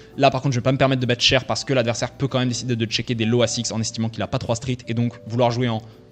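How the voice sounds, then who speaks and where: Over music in the background, a man talks very fast at a medium pitch with flat, monotone intonation. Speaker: poker coach. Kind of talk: gameplay commentary.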